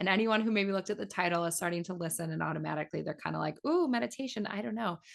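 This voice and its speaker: A woman with an American accent talks at a very fast pace with lively intonation and a fairly low pitch. The background is quiet. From US Midwest, Minnesota. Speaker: meditation teacher. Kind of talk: interview.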